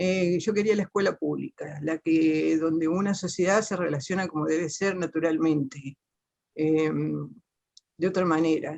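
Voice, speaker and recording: With an Argentine Litoral accent, a woman speaks at a fairly slow pace. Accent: Argentine Spanish (litoral, voseo). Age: 60s. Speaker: teacher, panel participant. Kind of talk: personal testimony in a panel talk. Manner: halting, many fillers and self-corrections.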